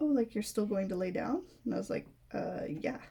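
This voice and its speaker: Her pitch swinging very widely, a woman speaks in a fairly high voice with a dark, mellow tone and vocal fry. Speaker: crafting youtuber. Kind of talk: casual chat. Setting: home recording at night. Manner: casual, filler-heavy.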